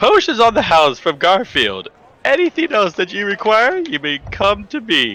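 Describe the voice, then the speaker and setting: Using a put-on character voice, a man speaks high for a man at a moderate pace. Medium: actual play. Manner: showy, proclaiming, salesman-like.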